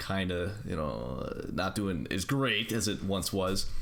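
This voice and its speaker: A man's voice with lively intonation and vocal fry, plus audible room echo. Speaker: podcast host. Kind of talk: casual chat. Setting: online voice call. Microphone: audio cutting out.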